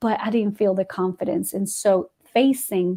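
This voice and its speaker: A woman with a Spanish accent speaks at a medium pitch and a moderate pace, using ordinary pitch variation in a dark, mellow tone. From Guatemala. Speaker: ESL teacher. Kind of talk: interview answer.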